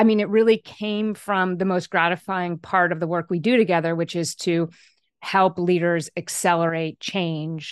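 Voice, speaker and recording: A woman with a plain, everyday voice speaks at a moderate pace in a fairly low pitch, her intonation fairly even, the sound dry and close with no echo against a quiet background. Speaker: author and leadership coach. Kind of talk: interview.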